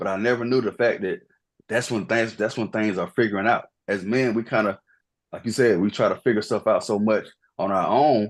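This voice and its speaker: A man speaks in a plain, everyday voice at a medium pitch and a fairly quick pace. His intonation is fairly even, and the background is quiet. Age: 30s. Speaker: podcast guest. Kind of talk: casual chat.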